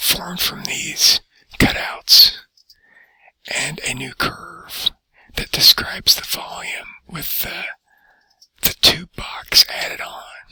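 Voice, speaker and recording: A man whispering at a very slow pace. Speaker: teacher. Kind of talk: tutorial. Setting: library. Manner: soft-spoken.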